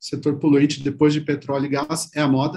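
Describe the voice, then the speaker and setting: A man's fairly high-pitched, somewhat breathy voice in a southern Brazilian accent, dark and mellow in tone, at a moderate pace. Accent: gaúcho (southern Brazilian). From Rio Grande do Sul, Brazil. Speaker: PR agency CEO, former journalist. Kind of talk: interview.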